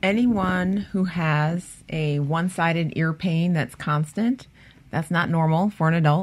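A woman speaks with an American accent in a normal speaking voice, fairly low in pitch with ordinary pitch variation. She talks at a fairly slow pace, and her loudness stays very even. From Cleveland, Ohio. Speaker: head and neck surgeon.

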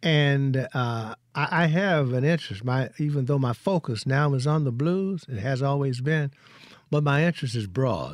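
Speaking at a moderate pace with a Mississippi accent, a man uses a fairly high pitch. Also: ordinary pitch variation. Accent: US South (Mississippi). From Mississippi Delta. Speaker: retired biochemist and educator. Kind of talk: interview. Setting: studio.

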